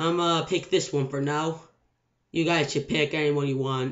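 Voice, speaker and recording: A man speaks with fairly even intonation at a fairly slow pace over a quiet background. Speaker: gamer making tutorial. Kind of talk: screen-recorded video game tutorial. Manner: casual, unscripted. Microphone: webcam.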